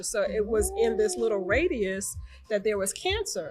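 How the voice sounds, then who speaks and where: A woman speaks at a fairly high pitch with a New York accent. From New York, Long Island (Hempstead). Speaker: breast cancer survivor. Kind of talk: testimony.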